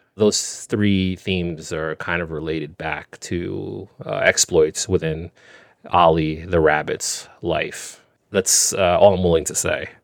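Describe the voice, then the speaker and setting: A man speaks very slowly with an American accent. The sound is dry and close, with no echo. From New York, the Bronx; Jamaican family. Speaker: artist. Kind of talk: interview.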